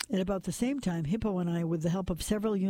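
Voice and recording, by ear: Read aloud in a natural voice, the passage shows ordinary pitch variation.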